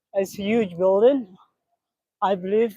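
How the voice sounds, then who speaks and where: In a non-native accent, the speaker goes at a fairly slow pace. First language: not English. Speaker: live streamer. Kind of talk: walking live stream commentary. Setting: outdoors on city streets at night. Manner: halting, with many fillers.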